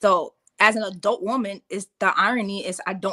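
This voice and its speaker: With a New York accent, a woman speaks at medium pitch in a bright, sharp tone, recorded dry and close with no echo. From New York City, the Bronx. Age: 30s. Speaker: reality TV personality. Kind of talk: interview. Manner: animated.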